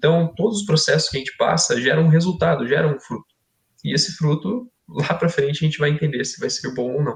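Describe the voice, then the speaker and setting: Here is a man with a normal speaking voice and a fairly high pitch. He moves at a fairly quick pace with ordinary pitch variation. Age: 20s. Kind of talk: podcast discussion, testimony. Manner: conversational, informal.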